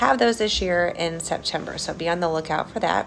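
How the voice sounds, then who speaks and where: A woman speaks quietly at a fairly low pitch with ordinary pitch variation. Noticeable background noise can be heard. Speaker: school administrator. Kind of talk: video update to staff. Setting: school building. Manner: quiet, hushed; hesitant, many fillers.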